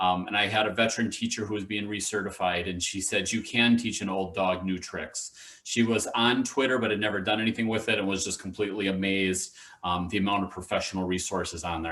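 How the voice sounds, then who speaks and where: Very fast and fairly low, a man with a Wisconsin accent speaks in a bright, sharp tone, with audible room echo around him. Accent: noticeable Wisconsin. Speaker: education official and teacher educator. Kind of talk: conference presentation. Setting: video call.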